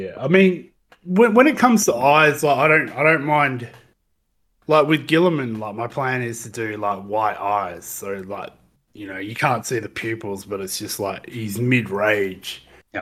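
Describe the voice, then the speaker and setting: Recorded very cleanly against a silent background, a man with an unremarkable speaking voice talks at a fairly slow pace and medium pitch, with lively intonation and big swings in loudness. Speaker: podcast co-host. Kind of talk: casual banter.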